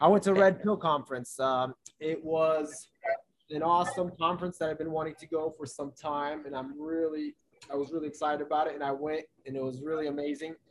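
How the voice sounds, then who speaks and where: A man with a fairly high pitch speaks in a plain, everyday voice. His pace is fairly quick and his intonation fairly even. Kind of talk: casual chat.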